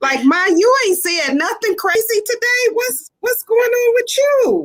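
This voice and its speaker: A woman speaks loudly at an extremely high pitch, with very wide pitch swings. Her pace is fairly slow. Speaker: panelist mother. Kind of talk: casual chat.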